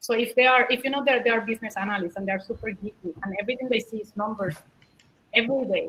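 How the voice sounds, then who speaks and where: A woman speaks with a Puerto Rican accent at a fairly high pitch. Her pitch variation is ordinary. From Puerto Rico. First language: Spanish. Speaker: product manager. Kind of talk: panel talk Q&A.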